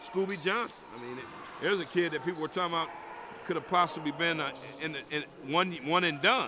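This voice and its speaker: Speaking at a very fast pace yet with long, frequent pauses, a man with a high voice and ordinary pitch variation is heard over noticeable background noise. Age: 60s. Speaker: color commentator. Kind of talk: live commentary.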